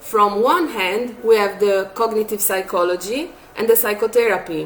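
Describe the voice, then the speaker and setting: A woman with a non-native accent speaks at a moderate pace and a fairly high pitch, with ordinary pitch variation. Noticeable background noise runs underneath. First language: not English. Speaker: psychologist. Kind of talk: tutorial. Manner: hesitant, with filler sounds.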